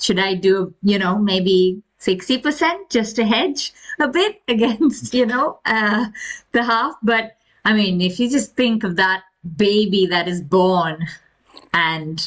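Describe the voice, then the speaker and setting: A woman with a Keralan accent speaks at a very slow pace and medium pitch, with lively intonation and very even loudness. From India, Kerala. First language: Malayalam. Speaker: podcast guest, spiritual devotee. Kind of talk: casual spiritual discussion.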